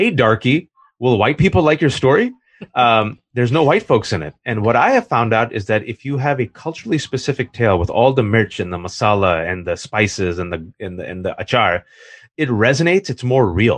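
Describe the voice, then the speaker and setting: Lively intonation marks a man's speech. He moves along at a fairly quick pace. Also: medium pitch for a man. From California (Fremont). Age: 40s. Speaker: columnist and author. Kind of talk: interview conversation. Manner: animated.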